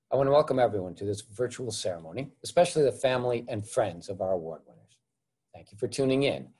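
A man speaks fairly quickly in a somewhat breathy voice with a dark, mellow tone. The background is quiet. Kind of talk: formal welcome speech. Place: home room. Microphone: webcam.

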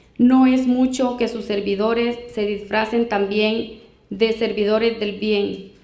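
A woman with a fairly high pitch talks very slowly in a monotone, flat intonation. Room echo is audible around her. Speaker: Bible reader in a debate. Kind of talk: reading aloud. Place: hall. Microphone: handheld.

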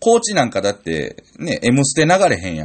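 A man speaks with a Tokushima accent. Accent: Awa (Tokushima) dialect, Kansai-like. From Tokushima, Japan. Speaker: comedian. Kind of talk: solo radio-style talk. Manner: casual, chatty.

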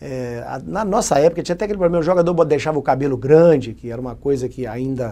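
This man's voice has a dark, mellow tone and ordinary pitch variation. He talks at a very fast pace. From Minas Gerais, Brazil (Muriaé); Minas Gerais, Brazil. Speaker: retired football goalkeeper. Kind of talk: interview. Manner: halting. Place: studio. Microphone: lapel.

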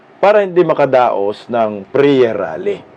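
A man's animated, fairly slow voice with very wide pitch swings. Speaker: political commentator vlogger. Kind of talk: commentary voiceover over rally footage, opinionated. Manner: animated, sarcastic, emphatic with repeated phrases; indignant, mocking, rally-speech style.

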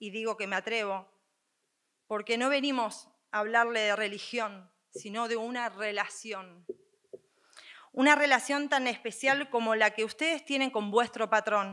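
A woman with a fairly high pitch speaks in a solemn tone at a fairly slow pace. Her intonation is fairly even, with long, frequent pauses against a quiet background. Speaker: co-pregonera, speaker. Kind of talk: formal, ceremonial speech with poetic phrasing. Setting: stage with audience. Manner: formal, solemn, emotional. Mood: earnest, emphatic. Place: stage. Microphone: podium.

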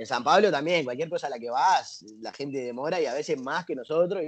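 A man with a Rioplatense accent talks at a fairly quick pace against a quiet background. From Uruguay. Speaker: interviewee. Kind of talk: interview answers. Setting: living in Brazil. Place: garden. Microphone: earbuds.

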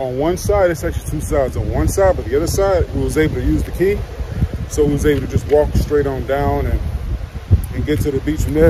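A man talking at a very fast pace, dry sound with no echo, noticeable background noise behind him. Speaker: travel vlogger. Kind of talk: casual vlog chat. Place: garden. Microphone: phone near.

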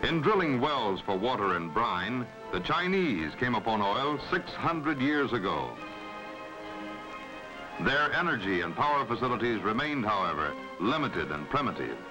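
Clear music plays behind a man speaking. He keeps a moderate pace with long, frequent pauses. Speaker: documentary narrator. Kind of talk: documentary narration. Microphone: old recording.

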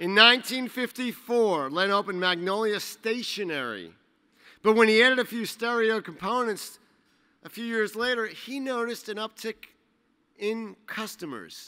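A man speaks in a raised, projected voice with a bright, sharp tone at a fairly slow pace. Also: ordinary pitch variation, big swings in loudness, quiet background. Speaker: trade association executive. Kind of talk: awards ceremony introduction. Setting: stage with audience. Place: hall. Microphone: podium.

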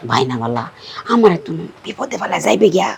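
In a raspy put-on character voice of middle pitch, the speaker moves at a moderate pace with very wide pitch swings. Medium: short film. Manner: blunt, insistent.

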